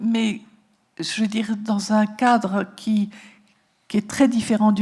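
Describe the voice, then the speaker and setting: A woman talks with a fairly high pitch, going very slowly. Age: 70s. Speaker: psychotherapist and author. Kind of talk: talk to an audience. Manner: halting.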